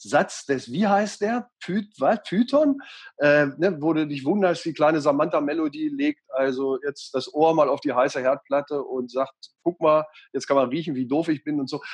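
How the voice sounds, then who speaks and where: In a normal speaking voice, a man talks at a moderate pace and a fairly high pitch with ordinary pitch variation. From Lower Saxony, Göttingen. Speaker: radio and TV presenter, mediator. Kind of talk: interview. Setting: video call.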